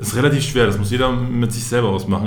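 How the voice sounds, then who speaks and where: Medium-pitched male speech, plus noticeable background noise and audible room echo. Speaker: basketball referee. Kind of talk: casual interview.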